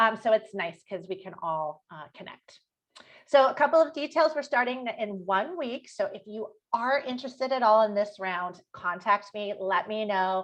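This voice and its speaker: A woman speaks with lively intonation and fairly high pitch. Her loudness swings widely. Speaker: health and nutrition coach. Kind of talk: online workshop pitch. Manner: fast.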